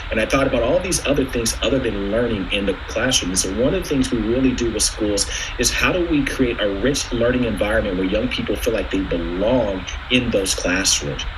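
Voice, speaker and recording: Fairly quick male speech in an American accent, amid audible room echo and noticeable background noise. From US Pacific Northwest, Seattle. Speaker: education nonprofit presenter. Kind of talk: presentation to a board. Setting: virtual meeting by video call. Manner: fast.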